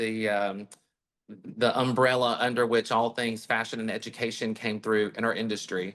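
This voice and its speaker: A man with an American accent has a bright, sharp tone and a medium pitch. His monotone, flat intonation moves at a moderate pace. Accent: Southern US accent, perhaps slight. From US South. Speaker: hairstylist and salon owner. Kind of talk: interview. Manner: hesitant fillers, conversational.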